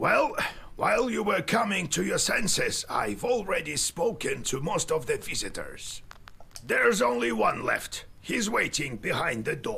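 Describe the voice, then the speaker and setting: A man performs a put-on character voice. Light background noise sits behind him. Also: moderate pace. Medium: solo performance. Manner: gruff, fatherly, rambling.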